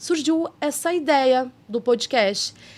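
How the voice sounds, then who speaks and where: A woman talks with a high pitch. Her voice moves in very wide pitch swings. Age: 40s. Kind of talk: casual podcast conversation. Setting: studio.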